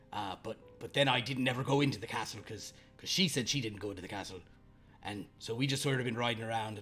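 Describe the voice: A man's put-on character voice at medium pitch and a fairly quick pace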